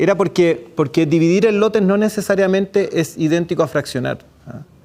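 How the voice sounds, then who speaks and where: A man talks at a fairly quick pace with a Chilean accent. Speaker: public procurement expert, speaker. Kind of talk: lecture at a workshop. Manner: fast.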